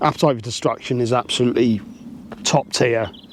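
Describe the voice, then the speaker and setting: Noticeable background noise behind a man at medium pitch and a moderate pace. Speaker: metal music YouTuber. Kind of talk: casual monologue to camera. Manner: casual, hesitant with repetitions.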